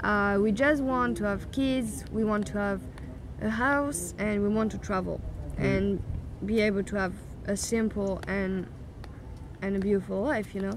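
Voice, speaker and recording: Over noticeable background noise, a woman with a French accent talks at a moderate pace with long, frequent pauses. The sound is dry, with no echo. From France. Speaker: YouTuber. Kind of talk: casual chat. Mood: relaxed, thoughtful. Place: garden.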